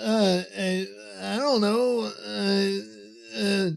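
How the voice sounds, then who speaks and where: A man uses a put-on character voice. His pitch is high. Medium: audio drama. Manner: stammering, hesitant.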